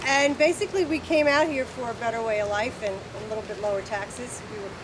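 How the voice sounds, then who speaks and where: A woman with a New Jersey accent, lively intonation and a fairly quick pace, over noticeable background noise. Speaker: hog farmer. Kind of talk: presentation.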